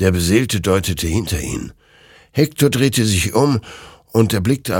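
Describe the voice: Text is read out loud, plainly. Nothing more is added to the reading.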